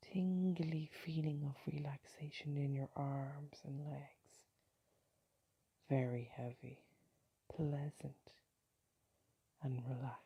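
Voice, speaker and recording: The voice is somewhat breathy with a dark, mellow tone. It moves at a very slow pace with long, frequent pauses. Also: woman, very deep, low pitch for a woman, fairly even intonation. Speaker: meditation guide. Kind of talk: guided sleep meditation. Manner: slow, soft-spoken.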